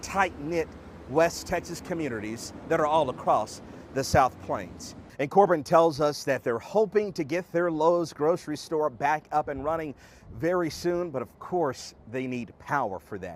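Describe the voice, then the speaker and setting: A normal speaking voice from a man, fairly high in pitch, at a moderate pace. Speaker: TV news reporter and anchor. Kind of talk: live TV news field report. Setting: outdoors.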